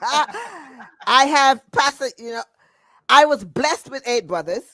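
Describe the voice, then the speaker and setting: A woman speaks at a very slow pace in a raised, projected voice with a high pitch, very wide pitch swings and big swings in loudness, her bright, sharp tone caught in a very clean, dry, close recording with no echo and a silent background. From Antigua, West Indies. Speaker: retiree, former corporate accountant. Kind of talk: interview testimony.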